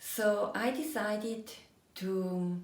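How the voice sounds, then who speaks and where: A woman is speaking. Noticeable background noise and audible room echo surround her. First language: German. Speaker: energy coach. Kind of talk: personal storytelling monologue.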